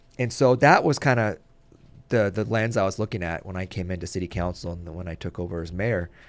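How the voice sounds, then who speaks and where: Very fast in pace, a man with an American accent speaks with a very deep, low pitch. His pitch variation is ordinary, and the recording is very clean with a silent background. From US West Coast, Ventura, California. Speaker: mayor. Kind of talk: radio interview. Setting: studio.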